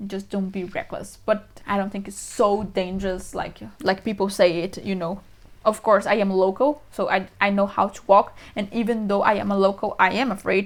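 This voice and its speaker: A woman of medium pitch talks with fairly even intonation in a strong Brazilian accent. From Brazil, São Paulo. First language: Portuguese. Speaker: vlogger. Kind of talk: casual talk to camera. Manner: fast.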